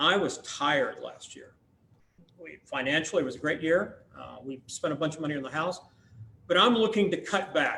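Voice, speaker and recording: The speaker is a man at a moderate pace. His pitch is high. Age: 60s. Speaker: restaurant owner and claims adjuster. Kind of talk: public meeting testimony.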